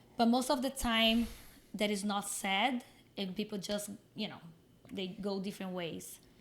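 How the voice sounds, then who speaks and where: In a Brazilian Portuguese accent, a woman at medium pitch speaks at a moderate pace with fairly even intonation and long, frequent pauses. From Brazil, Minas Gerais. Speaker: fitness coach and content creator. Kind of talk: podcast interview.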